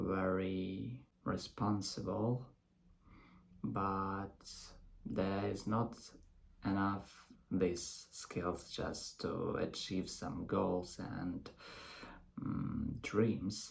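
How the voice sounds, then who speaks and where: Very slow speech in a non-native accent, broken by long, frequent pauses. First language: not English. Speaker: English learner. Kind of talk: casual talk to camera. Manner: hesitant, with pauses.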